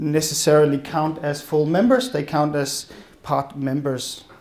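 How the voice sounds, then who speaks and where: A man's fairly high-pitched voice with a Danish accent, plus audible room echo. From Denmark. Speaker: policy advisor. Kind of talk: conference presentation. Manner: fast.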